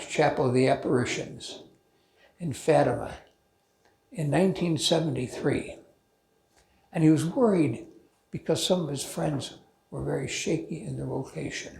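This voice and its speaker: Amid audible room echo, a man speaks at a fairly slow pace with long, frequent pauses and big swings in loudness. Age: 80s+. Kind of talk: informal talk to a men's group. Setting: church talk, also streamed on video call. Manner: halting, with false starts.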